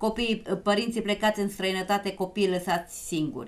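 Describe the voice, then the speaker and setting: In an unremarkable speaking voice, a woman talks at a moderate pace with medium pitch and fairly even intonation. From Romania. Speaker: TV talk show host. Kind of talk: live TV talk show. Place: studio.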